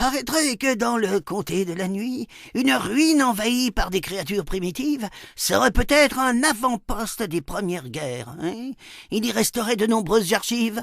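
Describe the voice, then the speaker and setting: Putting on a character voice, a man speaks at a moderate pace with a high pitch and lively intonation. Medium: read story.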